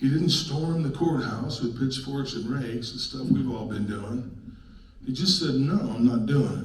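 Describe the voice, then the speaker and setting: A man with an American accent, with audible room echo and noticeable background noise. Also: medium pitch for a man, ordinary pitch variation, moderate pace. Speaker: local activist presenter. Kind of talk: public presentation. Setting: public meeting with audience. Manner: loud; animated.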